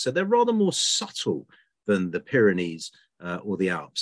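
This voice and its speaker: A quiet background lies behind a man as he speaks. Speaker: presenter. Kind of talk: lecture. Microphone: webcam.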